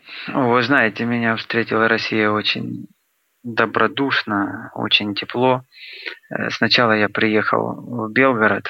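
Very slow and broken by long, frequent pauses, a man's speech holds a very even loudness and a monotone, flat intonation. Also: medium pitch for a man. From Luhansk, eastern Ukraine. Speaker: singer-songwriter. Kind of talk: interview.

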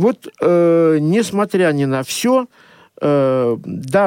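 A man talks with lively intonation. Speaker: journalist. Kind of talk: radio talk show discussion. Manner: hesitant, many filler sounds.

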